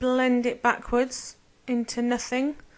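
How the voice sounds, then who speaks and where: Mumbling in a British accent, a woman speaks in a high voice. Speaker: nail artist. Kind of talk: tutorial. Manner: casual.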